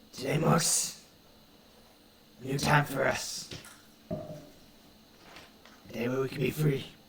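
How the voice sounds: Putting on a character voice, a man sounds booming and raspy at a medium pitch, speaking at a very slow pace with monotone, flat intonation and long, frequent pauses.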